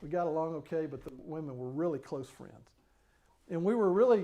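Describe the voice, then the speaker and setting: Talking at a fairly quick pace, a man with a high pitch and a dark, mellow tone moves through very wide pitch swings. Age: 60s. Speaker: preacher. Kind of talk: grief seminar talk.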